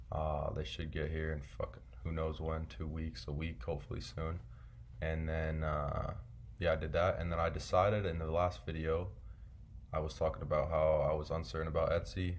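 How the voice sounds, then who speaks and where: A man at a moderate pace, with audible room echo. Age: 20s. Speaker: online seller vlogger. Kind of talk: casual vlog monologue. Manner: casual, filler-heavy.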